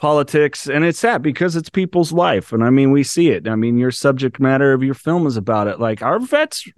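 This man has a fairly high pitch and lively intonation at a fairly quick pace. The sound is dry and close, with no echo. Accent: American. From California. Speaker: podcast host and recovery coach. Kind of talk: interview conversation.

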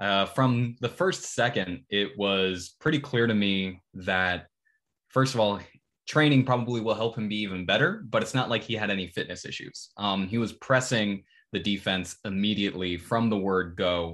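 Over a quiet background, an ordinary speaking voice moves at a moderate pace with ordinary pitch variation. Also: man, fairly low pitch for a man. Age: 20s. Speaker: football podcast co-host. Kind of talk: casual chat.

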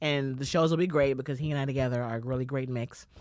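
A woman speaks with a New York accent. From Bronx, New York. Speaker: stand-up comedian. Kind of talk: casual chat.

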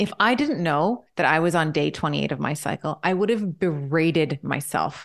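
A woman speaks at a moderate pace over a quiet background. Hers is an unremarkable speaking voice with lively intonation. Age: 40s. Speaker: doctor and women's health expert. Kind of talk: interview.

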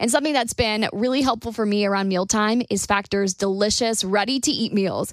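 With noticeable background noise behind her, a woman speaks at a fairly high pitch. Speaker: podcast host. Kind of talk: casual chat.

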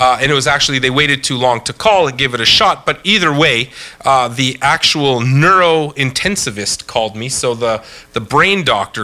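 Moderately paced and with lively intonation, an ordinary speaking voice comes through with a Canadian accent. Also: man. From Canada. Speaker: podcast host. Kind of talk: casual chat.

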